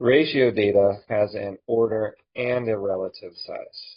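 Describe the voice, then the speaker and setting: Somewhat breathy speech moves at a very slow pace with fairly even intonation. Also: man. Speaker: statistics instructor. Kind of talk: lecture. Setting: recorded online lecture video. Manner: robotic when typing.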